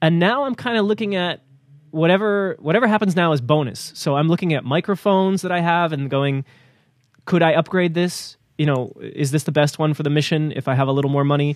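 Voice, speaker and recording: A man speaks with a New Jersey accent. His pitch is fairly high and his pace fairly quick. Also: ordinary pitch variation. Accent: American, New Jersey. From US, New Jersey. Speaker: news podcast co-host. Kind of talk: casual news discussion. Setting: remote audio call.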